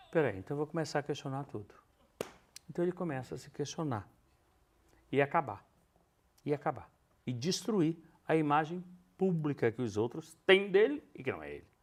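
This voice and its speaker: On a very clean recording with a silent background, a man with a fairly high pitch talks in an animated tone at a moderate pace, his lively intonation marked by big swings in loudness and long, frequent pauses. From northern Brazil, Belém. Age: 60s. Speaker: stage actor. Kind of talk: interview. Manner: animated storytelling.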